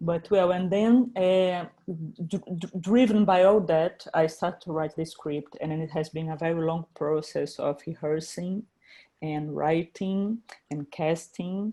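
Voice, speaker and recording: In a Brazilian Portuguese accent, a woman talks at a fairly slow pace, her fairly low, dark and mellow voice moving with ordinary pitch variation. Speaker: filmmaker. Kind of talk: interview. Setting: video call. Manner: halting, many repetitions.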